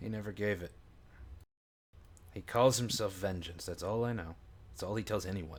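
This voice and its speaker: A man puts on a raspy character voice at a fairly low pitch. He talks at a moderate pace with long, frequent pauses. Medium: actual play. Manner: hesitant, apologetic, rambling.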